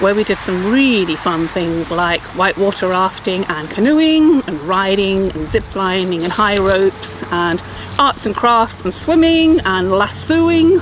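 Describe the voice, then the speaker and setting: A woman with an English accent and a medium pitch, at a fairly slow pace with hardly any pauses and very wide pitch swings, over noticeable background noise. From England, southwest London. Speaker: non-profit chief executive. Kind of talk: video self-introduction.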